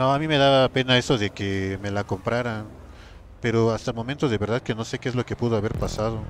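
A medium-pitched man at a very fast pace, on a very clean recording with a silent background. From Mexico, rural. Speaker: gaming streamer. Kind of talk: live gameplay stream chat. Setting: live stream. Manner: animated.

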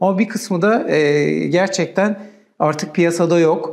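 Against a quiet background, a man talks at a very slow pace with ordinary pitch variation. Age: 40s. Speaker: software company country manager, interviewer; interviewer. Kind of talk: interview. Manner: hesitant with many filler sounds. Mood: calm, polite. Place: studio. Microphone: lapel.

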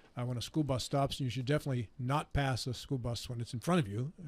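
Somewhat breathy, a man's voice races along at a very fast pace. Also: dry sound with no echo. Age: 60s. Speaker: radio talk show host. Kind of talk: casual chat. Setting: studio. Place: studio. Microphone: studio mic.

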